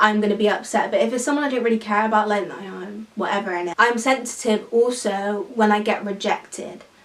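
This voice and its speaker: Noticeable background noise accompanies a woman talking fairly quickly at a fairly high pitch. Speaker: YouTuber. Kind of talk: casual chat. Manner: animated.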